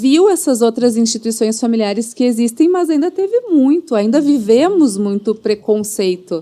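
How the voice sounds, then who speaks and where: A woman with a strong Rio Grande do Sul accent, fairly high pitch, dark, mellow tone and lively intonation, at a moderate pace with very even loudness and hardly any pauses. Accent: strong gaucho Brazilian Portuguese. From Rio Grande do Sul, southern Brazil. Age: 40s. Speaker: family lawyer. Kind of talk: casual chat.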